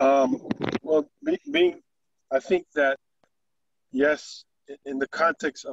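Very slow speech comes from a man with fairly even intonation. The sound is dry with no echo, and the background is quiet. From Jamaica. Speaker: community leader. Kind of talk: panel discussion. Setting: video call. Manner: halting, repeats words. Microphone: video call.

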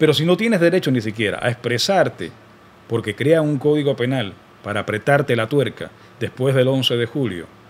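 This man talks fairly quickly, his intonation lively. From Cuba. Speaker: radio announcer. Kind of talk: political commentary to camera. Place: studio. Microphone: studio mic.

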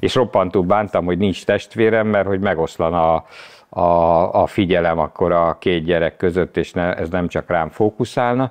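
Speaking at a very deep, low pitch, a man keeps a moderate pace with ordinary pitch variation. The background is quiet. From Hungary, Budapest; Hungary. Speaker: former taxi driver and car enthusiast; podcast guest. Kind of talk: casual interview chat. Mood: relaxed, reflective. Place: studio. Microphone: lapel.

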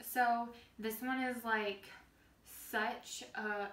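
A woman with fairly even intonation, audible room echo around her. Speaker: lifestyle vlogger. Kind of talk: casual cooking tutorial chat. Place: kitchen.

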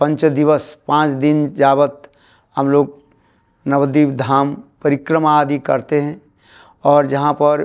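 Against a quiet background, a man with a fairly high pitch talks at a very slow pace, with long, frequent pauses and a monotone, flat intonation. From West Bengal, India. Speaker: preacher. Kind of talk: interview on religious teaching. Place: home room.

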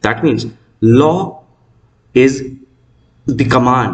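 Against a quiet background, a man speaks at a very slow pace in a somewhat breathy voice. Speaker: law teacher. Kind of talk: lecture. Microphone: webcam.

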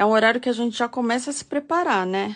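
The speaker is a woman. Her pitch moves with ordinary variation. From São Paulo state, Brazil (ABC Paulista); São Paulo state, Brazil. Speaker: crochet teacher. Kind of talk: live-stream tutorial. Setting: live stream. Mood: relaxed, friendly.

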